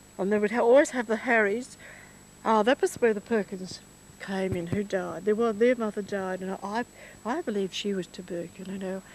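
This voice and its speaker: A woman with an Australian accent speaks at a moderate pace with ordinary pitch variation, the sound dry with no echo and light background noise. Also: medium pitch for a woman. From Victoria, Australia (rural Mallee, near Rainbow); Victoria, Australia. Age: 70s. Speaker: elderly woman reminiscing. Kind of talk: casual reminiscence. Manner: halting. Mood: nostalgic, reflective. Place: farm. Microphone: handheld.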